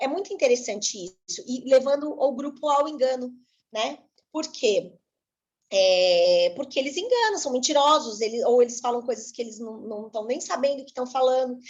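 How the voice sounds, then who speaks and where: A woman at a moderate pace, high in pitch, with lively intonation and big swings in loudness. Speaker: spiritist study instructor. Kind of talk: lecture.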